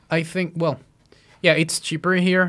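A man talks with a Spanish accent. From central Mexico. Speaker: podcast guest. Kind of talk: casual chat.

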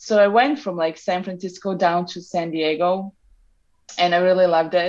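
Against a quiet background, a woman with a Serbian accent speaks at a moderate pace in a medium pitch with ordinary pitch variation. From Serbia (Novi Sad). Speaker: traveler and photographer. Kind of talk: interview. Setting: remote call from Novi Sad.

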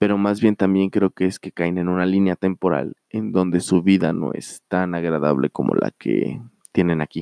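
With ordinary pitch variation, a man talks moderately fast in a very deep, low voice. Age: 30s. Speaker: podcast host. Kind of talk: solo monologue storytelling. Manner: halting with fillers.

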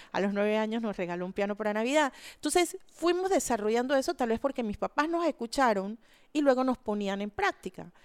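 The sound is dry and close with no echo. A woman talks at a fairly quick pace with very wide pitch swings. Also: fairly high pitch for a woman. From Panama, Panama City. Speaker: architect and environmental activist. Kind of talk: interview. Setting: studio.

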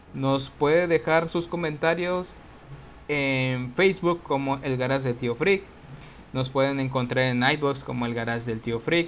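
The pace is fairly slow, and the pitch varies in an ordinary way. Overall it is an ordinary speaking voice. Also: man, fairly high pitch for a man. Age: 30s. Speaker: podcast co-host. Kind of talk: show outro announcements; casual chat.

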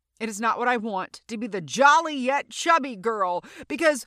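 In an American accent, a woman speaks loudly at a high pitch and a fairly slow pace, her bright, sharp, animated tone carried by lively intonation in a very clean recording with a silent background and a dry, close sound with no echo. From Louisiana. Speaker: podcast host, actor and comedian. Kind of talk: solo casual monologue. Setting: recording booth.

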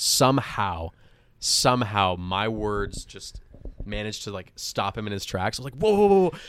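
An ordinary speaking voice, its pitch varying in an ordinary way, proceeds at a moderate speed on a very clean recording where the background is silent. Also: man. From Montreal, Canada. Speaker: actor and music producer. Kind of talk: casual chat.

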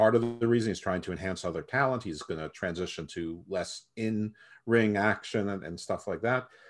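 A man speaks in a normal speaking voice at a fairly low pitch. The background is quiet. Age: middle-aged. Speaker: wrestling podcast co-host. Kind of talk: casual chat. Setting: podcast recording.

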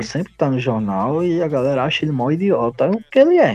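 Delivered at a fairly quick pace, the voice has a dark, mellow tone and lively intonation. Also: man. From Pernambuco, Brazil. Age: 20s. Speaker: graphic designer. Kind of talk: casual chat.

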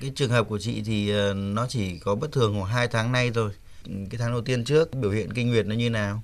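With an ordinary speaking voice, a man talks at a fairly quick pace and medium pitch, with hardly any pauses. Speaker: doctor specializing in andrology. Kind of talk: radio call-in medical advice. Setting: radio studio.

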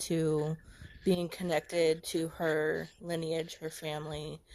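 A woman with an American accent and a fairly low pitch on a very clean recording with a silent background. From USA. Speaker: caller. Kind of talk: casual chat.

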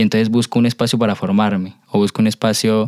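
Speaking at a fairly quick pace, a man keeps a flat, monotone intonation at a fairly low pitch, the sound dry and close with no echo. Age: young. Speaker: podcast host and dancer. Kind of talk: interview.

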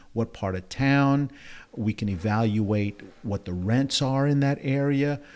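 In a New Orleans accent, a man speaks fairly slowly at a medium pitch with ordinary variation. The recording is very clean, with a silent background. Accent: New Orleans Southern US. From New Orleans, Louisiana. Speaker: real estate agent. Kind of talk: interview.

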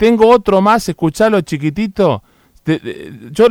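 Recorded very cleanly against a silent background, a man speaks with lively intonation in a dry, close sound with no echo. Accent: Rioplatense. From Argentina. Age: 50s. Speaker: radio host. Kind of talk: opinion monologue. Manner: animated.

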